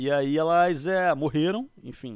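A man speaks in a Rio de Janeiro accent. The recording is very clean, its background silent. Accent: Carioca Brazilian Portuguese. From Brazil, Rio de Janeiro. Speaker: podcast guest. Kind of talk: casual chat.

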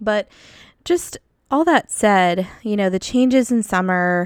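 This woman talks rather slowly. The movement of her pitch is ordinary. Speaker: podcast host and counselor. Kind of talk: guided meditation; casual chat. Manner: slow, soothing, calm; gentle, descriptive pacing with pauses.

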